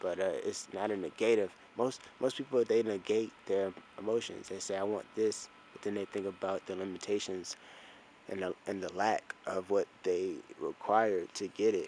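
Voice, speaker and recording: A man speaks quietly at a moderate pace. His fairly low voice has monotone, flat intonation. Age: 20s. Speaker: video diarist. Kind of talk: casual monologue vlog. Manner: quiet, talking low; halting, repetitive.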